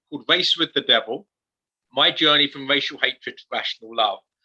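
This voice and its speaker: A man is speaking. He talks with an English accent. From England. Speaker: author and speaker. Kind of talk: interview testimony.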